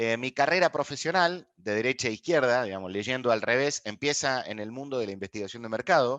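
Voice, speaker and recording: A man speaks at a fairly quick pace with an Argentine accent and a medium pitch. His pitch varies in an ordinary way, and the background is quiet. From Argentina. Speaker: people analytics expert, lecturer. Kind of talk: online master class.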